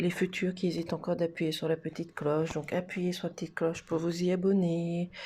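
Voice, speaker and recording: A soft-spoken voice with a dark, mellow tone speaks at a moderate pace in a flat monotone, recorded very cleanly against a silent background. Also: woman. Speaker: tarot card reader. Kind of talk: card reading for viewers.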